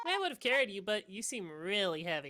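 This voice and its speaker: A put-on character voice at a middle pitch moves along at a fairly quick pace. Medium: game stream. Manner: casual, sarcastic.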